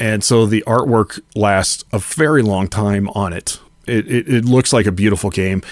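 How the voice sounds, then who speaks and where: This man has a normal speaking voice at a fairly low pitch. He keeps a moderate pace with ordinary pitch variation. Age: 40s. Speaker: pinball streamer and collector. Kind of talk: casual interview chat.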